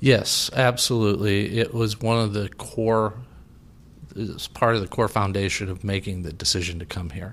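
A man with an ordinary speaking voice, fairly low pitch, fairly even intonation and a moderate pace on a very clean recording with a silent background. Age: 50s. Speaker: cancer patient. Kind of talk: personal testimony in interview.

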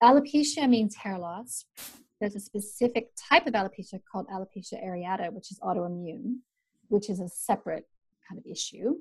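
A woman with a Canadian accent, medium in pitch and somewhat breathy, at a fairly quick pace with lively intonation and big swings in loudness. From Canada, mountain region. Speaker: naturopathic doctor. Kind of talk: interview.

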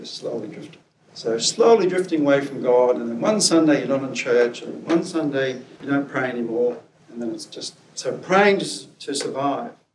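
A man speaks with a Scottish accent at a fairly high pitch and a moderate pace. His intonation is lively, and his loudness swings widely. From Scotland. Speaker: preacher and academic. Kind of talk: sermon.

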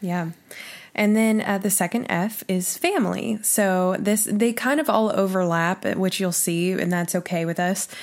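A plain, everyday voice from a woman with an American accent, medium in pitch, with ordinary pitch variation at a moderate pace, on a very clean recording with a silent background. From Oklahoma. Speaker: podcast co-host. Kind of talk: casual chat.

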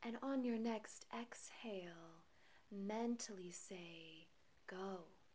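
Over noticeable background noise, a woman talks at a very slow pace in a soothing, calm tone. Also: medium pitch for a woman, ordinary pitch variation. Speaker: meditation guide. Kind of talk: guided meditation. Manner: slow, soothing, calm and gentle; measured, hushed, with long pauses between phrases.

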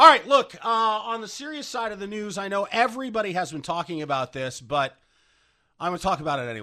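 A man with a high, bright, sharp voice speaks at a very fast pace, raised and projected. His pitch swings very wide and his loudness shifts a lot, over a quiet background. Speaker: radio host. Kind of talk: casual chat. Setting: studio.

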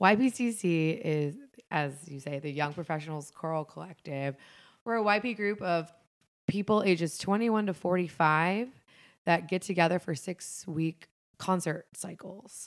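With an American accent, a woman speaks in an ordinary speaking voice, fairly low in pitch, with ordinary pitch variation. Her pace is moderate, and the recording is very clean with a silent background. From US Midwest, Fairfield, Ohio. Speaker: arts administration graduate student. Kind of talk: casual chat.

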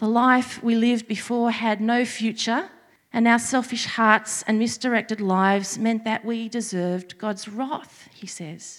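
This woman's voice sits fairly high. Her intonation stays fairly even. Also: fairly slow pace. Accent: Australian. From Australia, Sydney. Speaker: preacher. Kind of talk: sermon.

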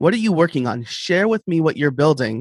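The sound is dry and close, with no echo. The speaker is a man. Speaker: online educator and podcaster. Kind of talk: interview, casual conversation. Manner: fast talker.

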